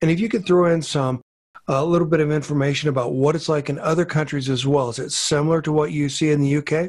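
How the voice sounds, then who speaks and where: Against a quiet background, a man speaks at a very fast pace. His pitch is fairly high and his intonation fairly even. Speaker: podcast host. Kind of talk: interview. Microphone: studio mic.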